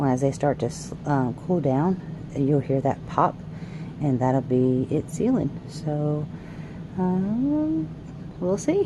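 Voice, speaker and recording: A woman with a very deep, low pitch at a very slow pace, with long, frequent pauses and noticeable background noise. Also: ordinary pitch variation, very even loudness. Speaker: homesteader, stay-at-home mom. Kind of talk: casual tutorial. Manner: casual, hesitant with fillers.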